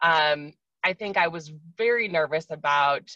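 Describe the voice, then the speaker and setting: A woman with an American accent talks at a fairly slow pace, her very deep, low pitch carrying a bright, sharp tone in a dry, close sound with no echo. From US Midwest, Wisconsin. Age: 30s. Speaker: guest sharing OCD experience. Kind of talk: interview testimony. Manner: hesitant, many fillers.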